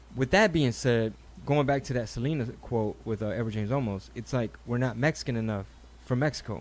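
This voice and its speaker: This man has a plain, everyday voice with an American accent. His medium pitch shows ordinary variation at a fairly quick pace. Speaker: comedian and podcast host. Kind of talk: casual chat.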